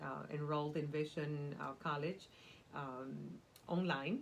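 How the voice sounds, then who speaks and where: Amid audible room echo, a woman with a very deep, low pitch speaks at a moderate pace. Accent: Cuban. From Cuba. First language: Spanish. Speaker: nonprofit community development worker. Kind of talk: interview. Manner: animated.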